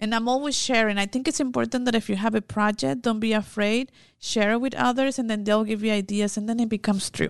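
Her fairly high voice races at a very fast pace, the woman keeping very even loudness and ordinary pitch variation. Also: hardly any pauses, quiet background. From Mexico. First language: Spanish. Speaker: immigration legal expert. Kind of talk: casual chat.

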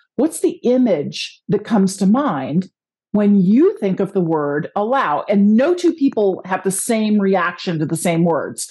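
A woman with a dark, mellow, somewhat breathy tone makes very wide pitch swings at a moderate pace over a quiet background. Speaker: podcast host. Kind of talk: casual interview chat.

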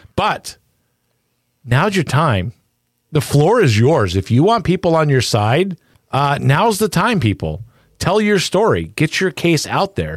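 In a very clean recording with a silent background, a man speaks with vocal fry, very wide pitch swings and very even loudness. His long, frequent pauses come through in a dry, close sound with no echo. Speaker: true crime podcast co-host. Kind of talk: casual chat. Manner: fast talker; excitable.

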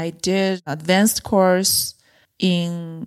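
On a very clean recording with a silent background, a woman speaks with a Chinese accent. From China, mid-size city. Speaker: freediver and freediving coach. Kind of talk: casual chat. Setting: in person over wine in Nairobi.

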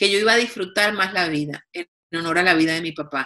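A woman with a normal speaking voice, ordinary pitch variation and a fairly quick pace. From Colombia, Cartagena. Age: 50s. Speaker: TV executive producer and author. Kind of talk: interview.

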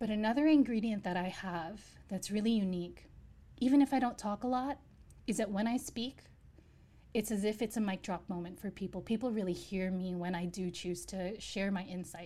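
Her medium-pitched voice has a dark, mellow tone and a somewhat breathy quality as this woman talks at a fairly quick pace with ordinary pitch variation. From US, New York. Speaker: chef and former investment banker. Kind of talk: interview. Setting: remote call.

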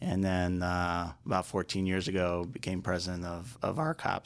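A man with an American accent speaks in a very deep, low voice at a fairly slow pace. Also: very clean recording, silent background. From Chicago, US Midwest. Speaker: restaurant company president. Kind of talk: interview. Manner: halting, many fillers.

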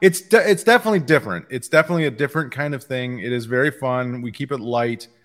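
On a very clean recording with a silent background, a man talks at a very fast pace. His intonation is lively and he hardly pauses. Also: medium pitch for a man. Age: 50s. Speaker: comics podcast host. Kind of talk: casual chat.

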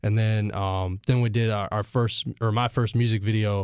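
In a very clean recording with a silent background, a man with an ordinary speaking voice talks at a moderate pace, with a fairly low pitch and fairly even intonation. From Asheville, North Carolina. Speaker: rapper. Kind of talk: casual interview. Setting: studio.

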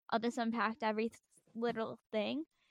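A woman with a plain, everyday voice and an American accent speaks at a moderate pace with a fairly high pitch, in a dry, close sound with no echo. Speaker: music podcast co-host. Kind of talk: casual chat.

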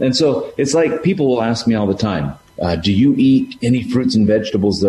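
Very wide pitch swings from a man, heard against noticeable background noise. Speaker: parent of five. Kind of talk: casual chat.

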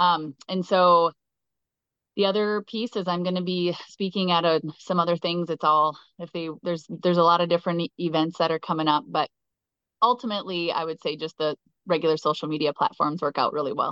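A woman with an Upper Midwest accent, a fairly quick pace and fairly even intonation. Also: fairly low pitch for a woman. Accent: Upper Midwest American. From southwestern Minnesota. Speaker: keynote speaker. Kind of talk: casual interview.

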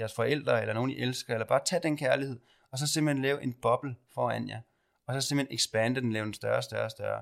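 At a very fast pace, a man talks at a medium pitch with ordinary pitch variation on a very clean recording with a silent background. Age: 30s. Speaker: podcast host and spiritual medium. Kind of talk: guided meditation; casual chat.

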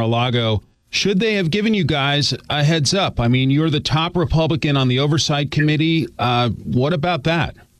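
A man's moderate-paced speech has ordinary pitch variation and comes in a normal speaking voice. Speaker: news radio host. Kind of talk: news podcast host. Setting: studio.

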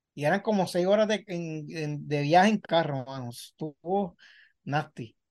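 A man speaks in an ordinary speaking voice at a fairly slow pace, his pitch fairly high with ordinary variation, against a quiet background. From Puerto Rico. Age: 40s. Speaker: sports journalist. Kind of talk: casual interview chat.

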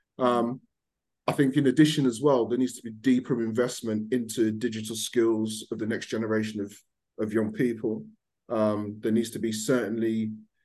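A man speaks with a Birmingham accent in a dark, mellow tone. His intonation stays fairly even. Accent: mild Birmingham (Brummie) English. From Birmingham, England. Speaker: fintech founder. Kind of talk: podcast panel discussion.

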